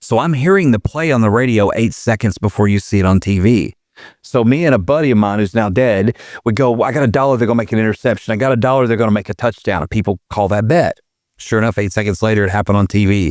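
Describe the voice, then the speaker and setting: The speaker talks at a very fast pace with an Arkansas accent, very even loudness and ordinary pitch variation. The sound is dry and close with no echo, in a very clean recording with a silent background. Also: man, fairly low pitch for a man. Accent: Southern US (Arkansas). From Arkansas, US South. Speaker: former prison inmate. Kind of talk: casual interview chat.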